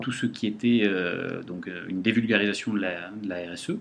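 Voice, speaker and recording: Fairly low in pitch, a man speaks at a moderate pace. His intonation is fairly even. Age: 40s. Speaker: company director. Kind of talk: interview. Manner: hesitant.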